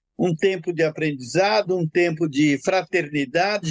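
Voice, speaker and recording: Recorded with a dry, close sound with no echo, a man speaks at a fairly slow pace in a high voice. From São Paulo, Brazil (interior, then São Paulo city east zone). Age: 70s. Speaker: retired executive, tree planter. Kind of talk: interview.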